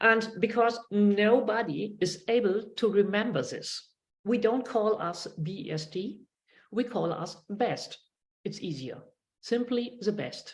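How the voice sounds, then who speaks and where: The speaker has a German accent and sounds somewhat breathy. The pace is very slow, with ordinary pitch variation. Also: woman, fairly high pitch for a woman. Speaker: sex worker and advocacy spokesperson. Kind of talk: online panel introduction. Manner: halting.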